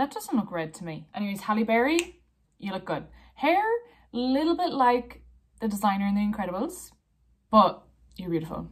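Playful and somewhat breathy, a woman with an Irish accent speaks at a fairly quick pace and a fairly high pitch. Her pitch swings very widely, and she leaves long, frequent pauses. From Ireland. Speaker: blogger. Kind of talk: casual talk to camera. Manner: playful, judgemental. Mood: playful, judgemental. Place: home room. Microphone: phone near.

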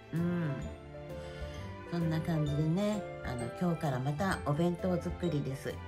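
Over clear background music, a woman with a very deep, low pitch speaks at a moderate pace. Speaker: homemaker. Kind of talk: casual vlog talk to camera. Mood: cheerful, polite greeting. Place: home room. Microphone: phone near.

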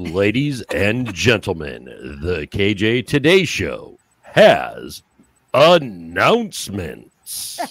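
Using a put-on character voice, a man booms at a medium pitch and a very slow pace. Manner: projected, announcing.

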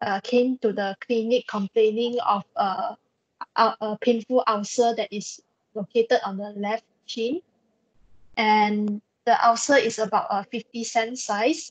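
In a dry, close sound with no echo, a woman with an ordinary speaking voice talks at a fairly high pitch and a fairly slow pace, with fairly even intonation. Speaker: medical student. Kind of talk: case presentation.

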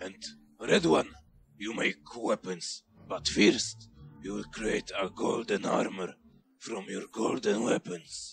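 A man with a fairly low pitch at a fairly slow pace, with long, frequent pauses and music in the background. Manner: bossy, ordering.

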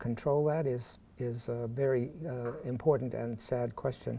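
In an American accent, a man speaks with a dark, mellow tone and fairly even intonation. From Pittsburgh, Pennsylvania. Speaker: professor. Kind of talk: lecture. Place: hall. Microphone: podium.

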